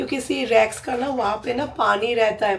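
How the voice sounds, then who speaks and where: A woman is speaking. Her voice has vocal fry. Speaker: lifestyle vlogger. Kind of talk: casual vlog chat. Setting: outdoors then at home. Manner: chatty, code-switching Hindi-English.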